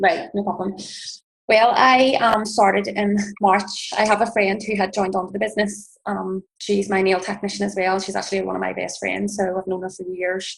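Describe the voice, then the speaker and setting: With an Irish accent, a woman speaks at a medium pitch in a monotone, flat intonation with vocal fry. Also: moderate pace. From Northern Ireland, Belfast. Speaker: network marketing distributor. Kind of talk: personal testimony.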